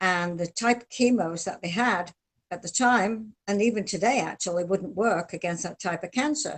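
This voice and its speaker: The voice moves at a moderate pace, somewhat breathy, with big swings in loudness and ordinary pitch variation. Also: woman, medium pitch for a woman. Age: 70s. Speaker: nutrition testimony guest. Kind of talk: testimony.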